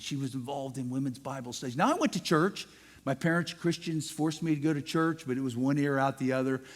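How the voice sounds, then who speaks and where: On a very clean recording with a silent background, a man with an American accent talks at a fairly quick pace in a fairly high voice. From US Midwest, Ohio near Cincinnati. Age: 60s. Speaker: guest speaker. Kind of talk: testimony.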